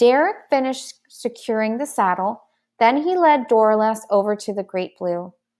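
Behind this unforced reading voice, the background is quiet. The intonation rises and falls in a lively way.

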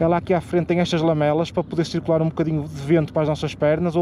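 Over light background noise, a man speaks very fast at a high pitch, with a dry sound and no echo. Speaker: motorbike travel vlogger. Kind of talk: casual vlog chat. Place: street. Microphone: phone near.

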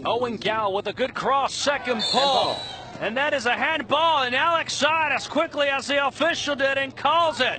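A man speaks in a raised, projected voice at an extremely high pitch, with ordinary pitch variation. His pace is moderate, and there is noticeable background noise. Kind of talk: live sports commentary on a youth soccer match, play-by-play. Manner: laughs and reacts in the moment, conversational and upbeat.

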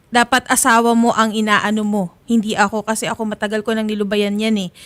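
A woman's fairly high, monotone, flat voice at a very fast pace, on a very clean recording with a silent background, dry and close with no echo. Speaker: co-host reading complaint messages. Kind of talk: complaint mediation show, reading messages aloud.

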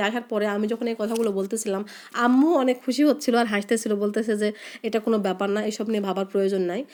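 A woman speaks at a fast pace. Her pitch is medium and her intonation fairly even.

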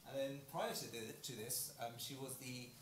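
Someone speaks at a very slow pace amid noticeable background noise and audible room echo. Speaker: seminar organiser. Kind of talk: speaker introduction. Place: hall.

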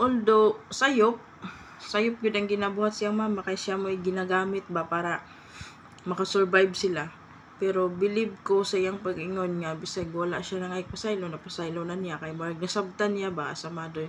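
Over noticeable background noise, a woman talks at a moderate pace with a medium pitch and fairly even intonation. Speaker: vlogger. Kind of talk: casual commentary vlog. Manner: halting, stumbling over words.

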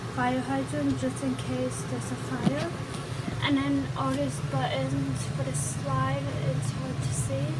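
A woman at a very slow pace over loud background noise. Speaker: vlogger giving a tour. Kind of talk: casual vlog chat. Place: home room. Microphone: phone near.

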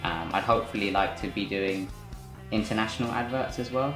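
Over clear background music, a man talks at a fairly quick pace with fairly even intonation. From West London. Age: 20s. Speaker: freelance film director. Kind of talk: interview answer. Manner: casual, conversational. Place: home room.

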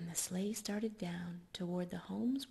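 Soft-spoken and somewhat breathy, a woman talks at a fairly slow pace. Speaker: ASMR storyteller. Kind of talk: bedtime story reading for ASMR. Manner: soft-spoken, soothing. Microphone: studio mic.

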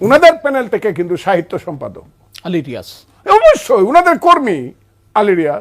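This man's high-pitched voice moves through very wide pitch swings and big swings in loudness. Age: 70s. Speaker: politician and war veteran. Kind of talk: talk show debate. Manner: animated.

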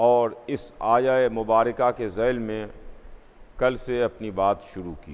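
A man at a very slow pace, fairly even in intonation, with big swings in loudness. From India, Lucknow; India. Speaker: Shia cleric; preacher. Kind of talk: sermon. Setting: mosque with congregation. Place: church.

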